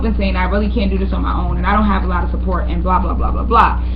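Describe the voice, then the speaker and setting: Room echo is audible around a woman with a very deep, low voice. Background noise is noticeable too. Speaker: inspirational vlogger. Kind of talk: personal video chat. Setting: webcam video at home. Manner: fast; loud. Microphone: built-in laptop mic, may be quiet.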